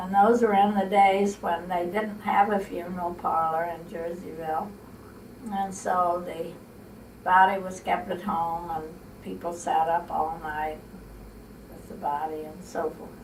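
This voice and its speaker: With a Midwestern American accent, a woman of fairly low pitch speaks at a fairly slow pace with fairly even intonation and long, frequent pauses. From Illinois, USA. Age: 80s+. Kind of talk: interview answer, family reminiscence.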